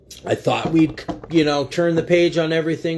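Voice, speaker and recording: This man's voice sits fairly high in pitch. Noticeable background noise runs behind it. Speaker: livestream commentator. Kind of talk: political commentary livestream. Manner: fast; animated.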